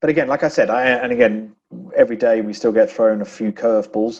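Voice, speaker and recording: This man has a dark, mellow tone and an English accent. He talks at a very fast pace. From England. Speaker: business executive. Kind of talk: podcast interview.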